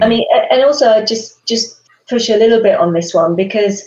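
A woman with a British accent at a moderate pace. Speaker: supply chain executive. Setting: live stream.

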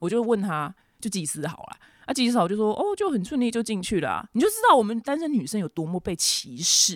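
Speaking at a very fast pace with a Taiwanese accent, a woman of medium pitch makes very wide pitch swings in a dry, close sound with no echo. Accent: Taiwanese Mandarin. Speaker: podcast host. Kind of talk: casual solo talk and news commentary.

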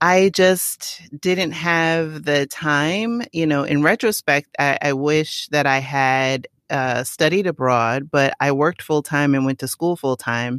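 The speaker talks very slowly with a New York accent. There are hardly any pauses. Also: very clean recording, silent background. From New York City, the Bronx. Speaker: digital marketing expert and travel platform creator. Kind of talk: podcast interview.

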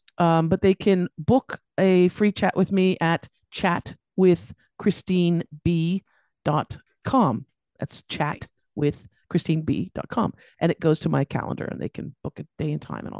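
A woman with an American accent speaks at a fairly slow pace, her pitch fairly low and her tone dark and mellow. Her loudness swings widely while her pitch varies in an ordinary way, and the sound is dry and close with no echo. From US, Los Angeles, California. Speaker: business coach. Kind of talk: interview.

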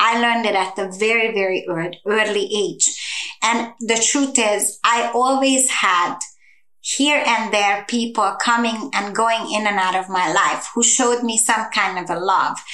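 A woman with a Hungarian accent, fairly high in pitch, at a fairly slow pace and with ordinary pitch variation. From Hungary. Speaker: human trafficking survivor and advocate. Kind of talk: personal testimony in interview.

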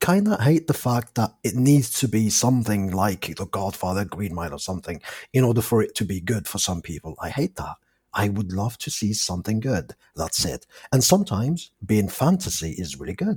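A man's fairly low, somewhat breathy voice with very wide pitch swings. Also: moderate pace. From Algeria. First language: not English; English is his fourth language. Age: 30s. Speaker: movie fan guest. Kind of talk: casual chat. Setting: international call. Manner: animated.

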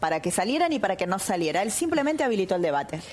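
Noticeable background noise runs under a woman's voice. She speaks at a very fast pace with very wide pitch swings. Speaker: politician. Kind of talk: interview.

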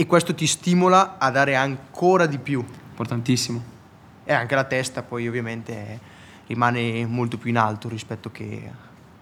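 This man has an unremarkable speaking voice, medium in pitch, with ordinary pitch variation at a moderate pace. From Italy. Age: young. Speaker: motorcycle racer. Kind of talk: casual interview.

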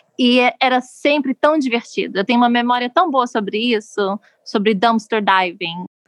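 Her voice high and her loudness very even, a woman speaks at a moderate pace with ordinary pitch variation, in a dry, close sound with no echo. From Brazil, Rio de Janeiro. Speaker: politician's spouse, activist. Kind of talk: interview storytelling.

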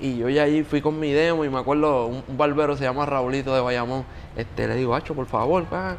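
This man has a plain, everyday voice, fairly high in pitch, moving at a fairly quick pace with fairly even intonation. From Puerto Rico (Yauco). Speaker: music producer and singer. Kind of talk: casual interview chat. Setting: beach club.

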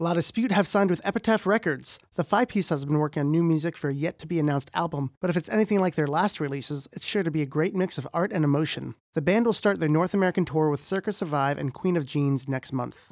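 Recorded very cleanly over a silent background, a man with a fairly high pitch and ordinary pitch variation speaks at a very fast pace with hardly any pauses. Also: dry, close sound with no echo. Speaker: music news podcast host. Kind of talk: news roundup.

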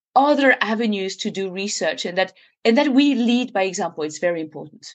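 Very wide pitch swings mark a woman speaking at a fairly quick pace with a French accent. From French Alps (Annecy). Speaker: glaciologist. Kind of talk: interview. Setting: remote call.

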